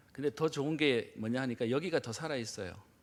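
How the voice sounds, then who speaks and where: Lively intonation marks this man's medium-pitched voice as he talks at a fairly quick pace. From Gyeongsang region, South Korea. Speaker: guest preacher. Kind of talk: sermon. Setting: church. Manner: speeds up when rushed; frequent filler hesitations.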